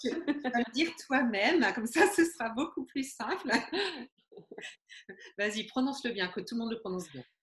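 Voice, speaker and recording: A woman speaks at a moderate pace with long, frequent pauses. Her high voice moves in very wide pitch swings. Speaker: webmarketing consultant, author. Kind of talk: interview questions.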